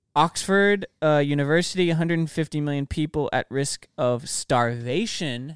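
A man speaks at a moderate pace with fairly high pitch, ordinary pitch variation and hardly any pauses, in an unremarkable speaking voice, recorded very cleanly with a silent background and a dry, close sound with no echo. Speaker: podcast co-host. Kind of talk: casual podcast discussion, cutting in on friends mid-rant.

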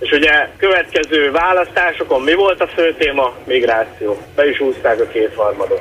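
With noticeable background noise behind him, a man speaks at a moderate pace in a fairly high pitch with lively intonation. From Satu Mare region, Romania (Hungarian minority). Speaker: caller. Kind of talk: phone-in call. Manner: hesitant, many fillers.

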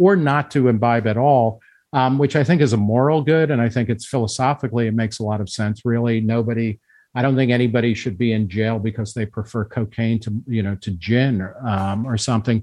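The pitch moves with ordinary variation in a normal speaking voice. It carries an American accent. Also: man, medium pitch for a man. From New Jersey. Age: 50s. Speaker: magazine editor. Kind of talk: podcast interview.

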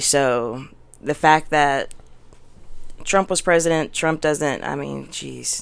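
On a very clean recording with a silent background, a woman speaks fairly slowly in a very deep, low voice with vocal fry. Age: 20s. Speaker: podcast guest, mother. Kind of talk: casual interview chat.

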